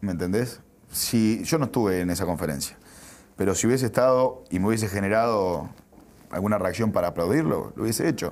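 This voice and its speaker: This man has a normal speaking voice, fairly low in pitch, with ordinary pitch variation and a fairly quick pace. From Uruguay. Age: 30s. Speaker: sports journalist; sports journalist guest. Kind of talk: interview. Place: studio. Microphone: lapel.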